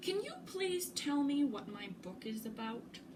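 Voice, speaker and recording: A woman's high-pitched, put-on character voice at a fairly slow pace, with clear background noise. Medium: read story. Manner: nervous, fretful.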